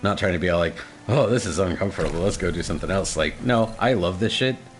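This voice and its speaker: A man talks at a very fast pace in a very deep, low voice with ordinary pitch variation. Noticeable background noise runs behind him. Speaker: game streamer. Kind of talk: casual chat. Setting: live stream.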